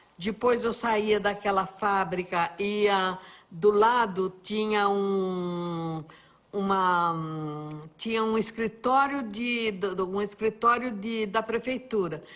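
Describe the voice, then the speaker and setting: Very slow speech from a woman at medium pitch with ordinary pitch variation. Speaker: TV cook and presenter. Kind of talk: interview answer. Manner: warm, chatty.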